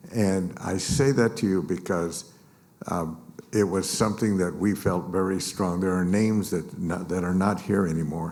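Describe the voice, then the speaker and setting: A man with a very deep, low pitch and an American accent, fairly even intonation, and audible room echo. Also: moderate pace. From US West Coast (East Los Angeles). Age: 80s+. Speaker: business association leader and mayor. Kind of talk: conference speech. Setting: stage with audience. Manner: halting, many fillers.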